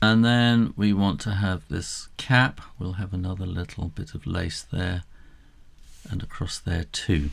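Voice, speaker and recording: A man with a British accent, very deep and low in pitch, at a fairly slow pace with ordinary pitch variation, on a very clean recording with a silent background. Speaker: drawing tutor. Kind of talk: tutorial. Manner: casual.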